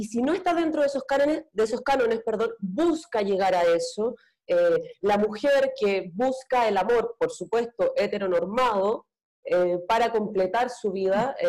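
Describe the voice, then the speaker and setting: At a fairly slow pace, a woman with an unremarkable speaking voice talks with lively intonation. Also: fairly high pitch for a woman, very even loudness. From Antofagasta, northern Chile. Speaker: actress and panelist. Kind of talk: panel discussion.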